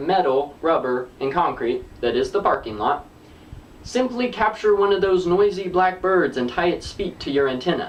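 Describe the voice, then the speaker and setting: Against noticeable background noise, a man speaks at a high pitch with an American accent. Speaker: comedy vlogger. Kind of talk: scripted humorous monologue.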